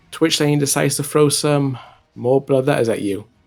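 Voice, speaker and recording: With music in the background, a man delivers his words at a moderate pace. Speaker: gaming YouTuber. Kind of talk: gameplay commentary. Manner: halting speech from stroke.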